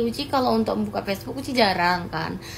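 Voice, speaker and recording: Lively intonation marks this woman's fairly quick speech. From West Sumatra, Pasaman Barat. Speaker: social media content creator. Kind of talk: vlog clarification. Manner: animated.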